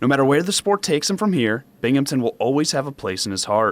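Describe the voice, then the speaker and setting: A man with a fairly high pitch talks very fast, his pitch swinging very widely. Noticeable background noise runs underneath. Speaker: sports anchor and reporter. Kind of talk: TV sports feature narration (voiceover storytelling).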